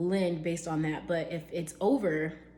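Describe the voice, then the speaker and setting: A woman speaks with a fairly low pitch. Audible room echo and noticeable background noise are present. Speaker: real estate agent. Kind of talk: tutorial. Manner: casual with fillers.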